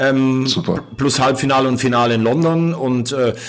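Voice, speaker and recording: Noticeable background noise sits under a man's voice, which has ordinary pitch variation. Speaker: sports journalist. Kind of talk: casual interview chat.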